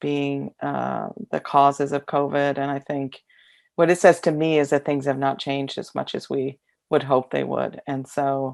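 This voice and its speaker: In an American accent, a woman speaks at a fairly slow pace with a very deep, low pitch. The recording is very clean, with a silent background. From US Midwest, Kansas City area. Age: 60s. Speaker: youth advocacy professional. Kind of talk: interview. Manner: hesitant, many fillers.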